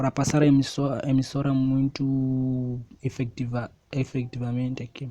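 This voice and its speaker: At a fairly slow pace, the speech carries a dark, mellow tone. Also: man. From Mozambique. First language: Xangana (Tsonga) (speaking Portuguese). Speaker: preacher. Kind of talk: sermon.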